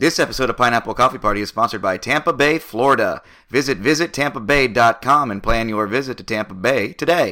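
In a very clean recording with a silent background, a man of medium pitch speaks in a bright, sharp tone at a fairly quick pace with ordinary pitch variation. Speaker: podcast host. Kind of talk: casual interview chat. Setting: studio.

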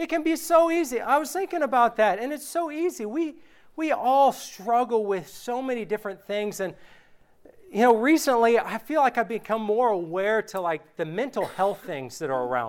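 A man speaks at an extremely high pitch with very wide pitch swings. The recording is very clean, with a silent background. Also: moderate pace. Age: 30s. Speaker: preacher. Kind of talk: sermon. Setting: church. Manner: animated.

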